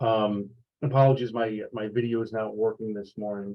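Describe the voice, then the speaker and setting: In a New York accent, a man with a fairly low voice speaks at a moderate pace in a monotone, flat intonation. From New York, USA. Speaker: sales executive. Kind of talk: online training talk. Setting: video call. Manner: halting, many fillers.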